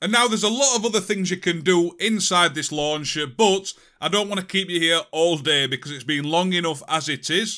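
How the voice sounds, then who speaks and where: A man with a British accent speaks in a high pitch with a bright, sharp tone and ordinary pitch variation. His pace is fairly quick with hardly any pauses, on a very clean recording with a silent background. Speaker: tech tutorial youtuber. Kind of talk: tutorial. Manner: casual.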